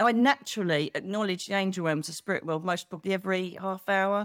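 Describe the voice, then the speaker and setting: Speaking with an Essex accent, a woman sounds animated at medium pitch, with ordinary pitch variation and a dry, close sound with no echo. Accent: southern English (Essex). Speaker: psychic medium. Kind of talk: casual interview chat. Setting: video call.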